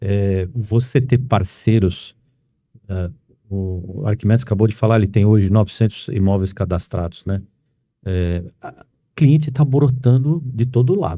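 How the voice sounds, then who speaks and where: The man's voice has a dark, mellow tone at medium pitch. He speaks at a fairly slow pace with ordinary pitch variation. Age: 60s. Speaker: podcast host and real estate agency owner. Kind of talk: podcast interview.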